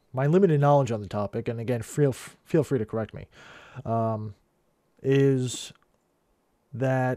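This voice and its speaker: Mumbling at a moderate pace, a man has a dark, mellow tone at a medium pitch with ordinary pitch variation. The recording is very clean with a silent background. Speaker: coin collector. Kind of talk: casual talk to camera. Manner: rambly, mumbly.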